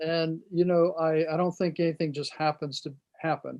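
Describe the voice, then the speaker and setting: A man with an American accent at a fairly high pitch, moderate pace and monotone, flat intonation. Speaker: host, dad coach, author and auctioneer. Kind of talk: interview host.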